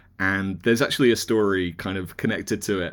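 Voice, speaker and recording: A man with a British accent, fairly low-pitched, at a fairly quick pace. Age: 40s. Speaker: magazine editor and author. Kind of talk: casual chat.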